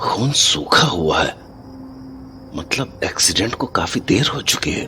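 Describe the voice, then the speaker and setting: Amid clear background noise, a man puts on a gruff character voice at a medium pitch and moderate pace. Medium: audio drama. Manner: gruff, swears often.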